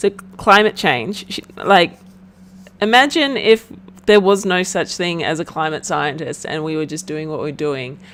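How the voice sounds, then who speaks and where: Fairly low-pitched woman in an Australian accent, lively intonation, big swings in loudness and a fairly slow pace. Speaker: podcast host. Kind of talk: casual chat.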